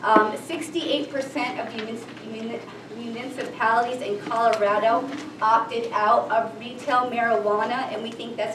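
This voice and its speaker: Through noticeable background noise and audible room echo, a woman with a fairly high pitch speaks at a moderate pace, her loudness swinging widely while her intonation stays fairly even. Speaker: state attorney general's office policy staff. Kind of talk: public meeting presentation. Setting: town council meeting.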